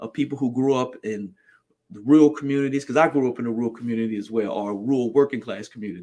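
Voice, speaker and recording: In a quiet background, a man with an ordinary speaking voice and an American accent talks at a fairly quick pace. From New Jersey, greater Philadelphia area. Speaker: political candidate. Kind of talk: campaign podcast monologue.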